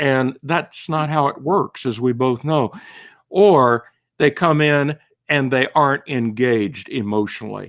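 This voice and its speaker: A man's fairly high voice, a plain, everyday voice, with ordinary pitch variation and a fairly slow pace, on a very clean recording against a silent background. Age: 60s. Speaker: author. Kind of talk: interview.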